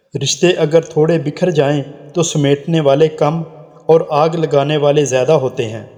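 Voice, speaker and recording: A man's voice sits at a fairly high pitch, with fairly even intonation. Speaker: voice-over artist. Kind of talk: motivational quotes narration.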